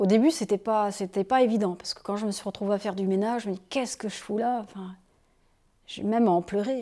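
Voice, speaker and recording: Her tone is dark and mellow, and the woman's intonation stays fairly even. The recording is very clean, with a silent background. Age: 40s. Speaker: nun. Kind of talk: documentary interview.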